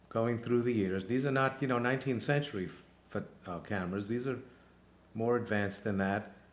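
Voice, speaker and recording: The speaker's pitch varies in an ordinary way, with audible room echo in the recording. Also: man. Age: 60s. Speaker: travel show host. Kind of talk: narrated photo slideshow. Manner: halting, many fillers.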